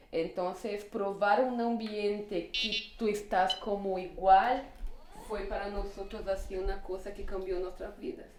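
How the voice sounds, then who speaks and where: Fairly slow, fairly even speech in a Portuguese accent, with noticeable background noise and audible room echo. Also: woman, medium pitch for a woman. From northern Brazil. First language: Portuguese (speaking Spanish). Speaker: LGBT refugee. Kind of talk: casual conversation.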